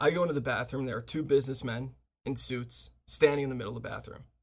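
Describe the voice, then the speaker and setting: In an animated tone, a man talks at a medium pitch with vocal fry and ordinary pitch variation. His pace is fairly quick, and the recording is very clean with a silent background. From US, Washington D.C. suburbs. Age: 30s. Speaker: podcast host, filmmaker. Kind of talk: casual chat.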